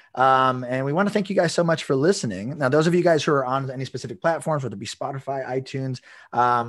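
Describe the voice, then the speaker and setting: Against a quiet background, a man talks very fast at a medium pitch with ordinary pitch variation. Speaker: podcast host, dog trainer; podcast host. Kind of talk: casual interview chat. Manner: halting, many repetitions. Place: home room. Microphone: video call.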